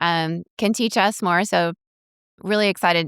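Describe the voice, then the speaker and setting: A woman's fairly low voice with ordinary pitch variation, in a very clean recording with a silent background and a dry, close sound with no echo. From Venezuela. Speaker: podcast host. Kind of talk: interview conversation.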